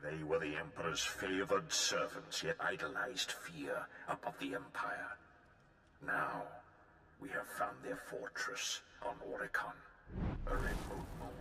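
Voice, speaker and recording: Using a put-on character voice, a man speaks in a fairly low pitch with long, frequent pauses, slight echo and clear background noise. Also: moderate pace. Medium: video game. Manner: grave, clipped, commanding.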